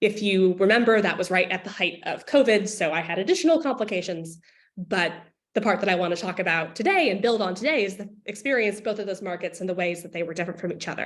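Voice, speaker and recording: A woman speaks at a very fast pace with an American accent. Her pitch varies in an ordinary way. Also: medium pitch for a woman. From United States. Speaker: political science professor. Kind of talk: workshop presentation. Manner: casual, hesitant with fillers.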